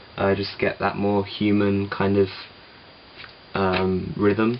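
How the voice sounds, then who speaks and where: With noticeable background noise, a man speaks at a fairly slow pace in a fairly low pitch. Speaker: musician. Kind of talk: tutorial. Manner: casual, hesitant with fillers.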